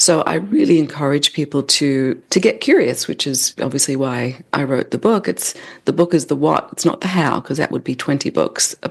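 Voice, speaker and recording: With an Australian accent, a woman speaks at a very deep, low pitch and a moderate pace. Her intonation is lively, and she leaves hardly any pauses. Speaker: leadership development expert, author. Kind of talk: podcast interview.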